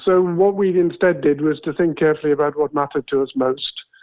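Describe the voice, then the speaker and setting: A man speaks with a southern English accent. His pitch varies in an ordinary way. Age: 70s. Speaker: retired accountant, property buyer. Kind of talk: interview. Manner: hesitant, with fillers.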